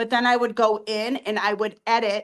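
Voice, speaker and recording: An animated woman's voice, fairly high in pitch. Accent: Boston. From Boston. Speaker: hair extension business owner. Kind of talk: interview.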